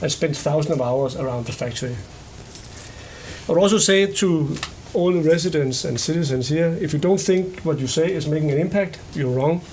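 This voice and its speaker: Amid audible room echo and noticeable background noise, a man with a Danish accent and a fairly high pitch talks at a moderate pace with ordinary pitch variation. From Denmark. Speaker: company executive. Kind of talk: public meeting presentation. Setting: public board meeting.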